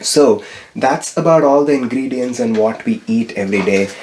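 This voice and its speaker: Moderate-paced speech with a Tamil accent and ordinary pitch variation over noticeable background noise. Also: man. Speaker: spiritual vlogger. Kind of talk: vlog-style tutorial. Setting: home kitchen.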